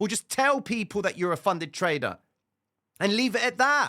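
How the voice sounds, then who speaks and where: On a very clean recording with a silent background, a man raises and projects his high-pitched voice in a bright, sharp tone. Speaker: trading educator. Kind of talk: tutorial. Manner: fast, clipped; loud, emphatic.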